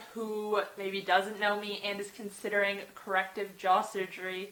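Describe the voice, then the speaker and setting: Speech moves at a moderate pace. Noticeable background noise is present. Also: woman. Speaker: vlogger. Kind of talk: vlog.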